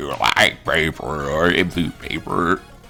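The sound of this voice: A man puts on a character voice, very deep and low in pitch, at a fairly slow pace. Music plays clearly in the background.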